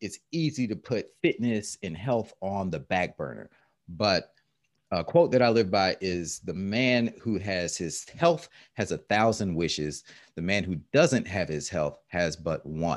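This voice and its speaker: The speaker has a normal speaking voice with lively intonation. The pace is fairly slow. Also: man, fairly low pitch for a man. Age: 40s. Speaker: entrepreneur and fitness coach. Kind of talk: casual chat. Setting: call.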